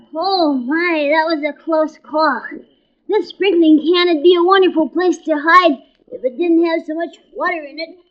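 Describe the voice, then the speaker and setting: An anxious tone comes through in a put-on character voice at an extremely high pitch. The pace is moderate. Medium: audio drama. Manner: anxious, fretful.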